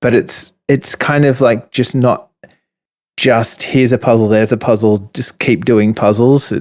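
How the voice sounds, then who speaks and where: A man in an Australian accent speaks at a fairly slow pace and medium pitch, with fairly even intonation. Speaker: indie game developer. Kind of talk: interview.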